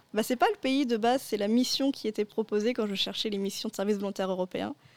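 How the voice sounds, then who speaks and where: Speaking very fast, a woman uses a fairly high voice with ordinary pitch variation. The recording is dry and close, with no echo. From France, Paris region. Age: 20s. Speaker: university student, former European volunteer. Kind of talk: radio interview.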